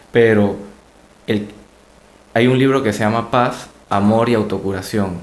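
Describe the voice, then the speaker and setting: With audible room echo, a man speaks fairly slowly in a fairly low pitch, his intonation fairly even and his pauses long and frequent. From Latin America. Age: 20s. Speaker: doctor and podcast co-host. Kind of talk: casual chat.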